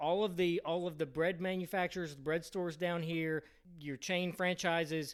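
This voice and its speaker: Speaking with an American accent, a man holds a high, monotone, flat pitch at a moderate pace. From Philadelphia area, US Northeast. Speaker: podcast host. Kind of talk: casual podcast monologue.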